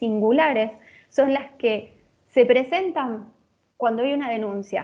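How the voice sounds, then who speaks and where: A woman speaks at a fairly slow pace. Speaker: lecturer. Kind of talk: lecture.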